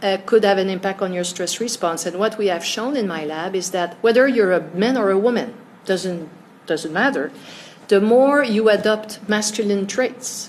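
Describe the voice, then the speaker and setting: A woman speaks with ordinary pitch variation. Room echo is audible, and there is noticeable background noise. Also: medium pitch for a woman. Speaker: stress researcher. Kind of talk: interview. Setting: conference. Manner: fast.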